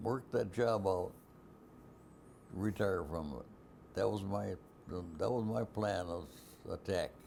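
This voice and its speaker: A man with an American accent and vocal fry speaks very slowly, with long, frequent pauses and ordinary pitch variation. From Wisconsin, US. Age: 80s+. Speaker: Marine Corps veteran. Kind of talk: oral history interview answer.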